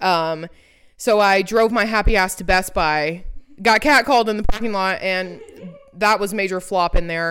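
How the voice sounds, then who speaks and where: A woman's medium-pitched voice with an American accent, at a moderate pace and with ordinary pitch variation. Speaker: podcast co-host. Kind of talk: casual chat. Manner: animated.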